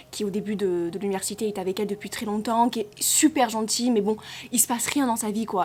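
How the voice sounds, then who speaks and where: Her pace is very fast. The woman keeps her intonation fairly even. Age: 20s. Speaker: book reviewer. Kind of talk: casual book review. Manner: halting.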